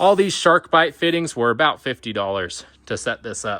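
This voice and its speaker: Pitch swings very widely as a man speaks at a medium pitch. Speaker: DIY tiny house builder. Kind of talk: video tour with cost breakdown. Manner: casual, conversational.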